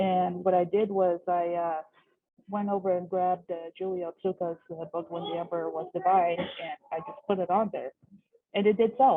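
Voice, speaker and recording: With a Pacific Northwest accent, a woman talks at a moderate pace in a medium pitch, her intonation fairly even. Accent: American, Pacific Northwest. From US Pacific Northwest, Seattle. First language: Russian. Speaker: bookstore worker. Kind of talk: casual chat. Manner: halting, many fillers.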